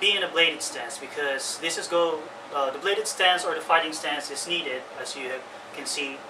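Through noticeable background noise, a man speaks at a moderate pace with a high pitch. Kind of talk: tutorial. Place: home room. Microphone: camera far.

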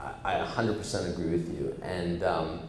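A man's very deep, low voice with a Canadian accent, audible room echo and light background noise. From Canada. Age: 40s. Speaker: startup executive; guest. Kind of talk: onstage interview. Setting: stage with audience. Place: office. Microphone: handheld.

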